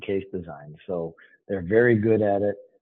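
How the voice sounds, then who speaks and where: Here is a man with an American accent and an unremarkable speaking voice. His pitch is fairly low. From Boston. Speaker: financial planning firm executive. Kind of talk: podcast interview.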